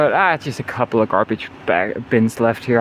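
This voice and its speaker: Noticeable background noise can be heard. Over it, a man talks. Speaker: nomad travel vlogger. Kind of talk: casual vlog talk. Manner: relaxed, casual.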